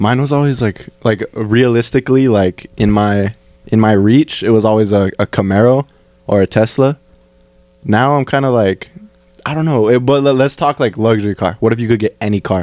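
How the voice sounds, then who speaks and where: At a moderate pace, an unremarkable speaking voice shows ordinary pitch variation in a dry, close sound with no echo. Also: man, medium pitch for a man. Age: 20s. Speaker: podcast host. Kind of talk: casual chat.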